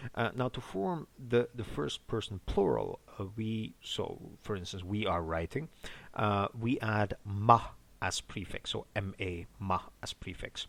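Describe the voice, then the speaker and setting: An ordinary speaking voice from a man, fairly low in pitch with ordinary pitch variation, at a fairly slow pace on a very clean recording with a silent background. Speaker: language teacher. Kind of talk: language lesson, teaching. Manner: explanatory, tutorial.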